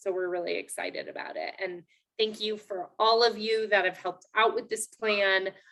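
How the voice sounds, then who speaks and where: The woman's voice has a bright, sharp tone. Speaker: city parks planner presenting at public meeting. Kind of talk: public meeting presentation. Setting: video call. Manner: many filler words, um.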